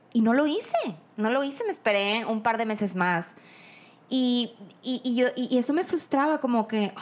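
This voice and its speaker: A woman talks at a moderate pace in a fairly high voice. Her tone is animated and her intonation lively. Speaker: podcast host. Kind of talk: casual chat.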